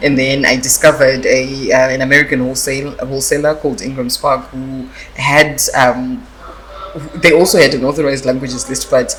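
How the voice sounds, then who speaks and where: Noticeable background noise runs beneath speech delivered at a fairly quick pace. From Zimbabwe, Masvingo. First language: Shona (Karanga dialect). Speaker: author, publisher and lawyer. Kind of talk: interview. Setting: arts festival event. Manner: hesitant, many fillers.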